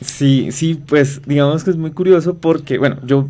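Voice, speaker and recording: A dark, mellow tone with a Colombian accent, fairly even intonation and a moderate pace. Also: man. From Colombia, inland region. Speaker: researcher, biologist. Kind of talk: radio interview. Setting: radio studio. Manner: halting, many fillers.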